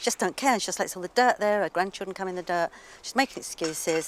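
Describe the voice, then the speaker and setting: A woman with an English accent speaks at a medium pitch with lively intonation, in a dry, close sound with no echo. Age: 70s. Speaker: obsessive cleaner. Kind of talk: interview to camera; reality TV conversation. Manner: animated.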